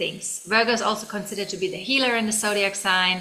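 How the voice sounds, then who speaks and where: A woman's medium-pitched voice in a German accent, bright and sharp in tone, with fairly even intonation. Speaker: tarot reader. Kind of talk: tarot reading. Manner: casual, with fillers and restarts.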